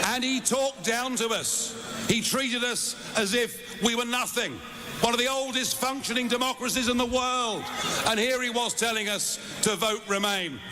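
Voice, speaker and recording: A man's raised, projected voice at an extremely high pitch, moderate in pace, with fairly even intonation amid noticeable background noise. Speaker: politician. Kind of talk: political rally speech. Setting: outdoors rally crowd.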